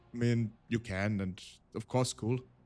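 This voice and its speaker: In a very clean recording with a silent background, a man talks with a German accent, the sound dry and close without any echo. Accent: German-speaking. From Austria. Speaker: vtuber streamer and storyteller. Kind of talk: casual live-stream chat. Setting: live stream.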